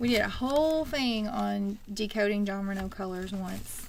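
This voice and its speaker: At a fairly slow pace, a woman with a Texan accent speaks at a medium pitch, with audible room echo around her. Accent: Texan twang. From Texas. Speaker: wig shop host. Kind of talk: casual livestream chat.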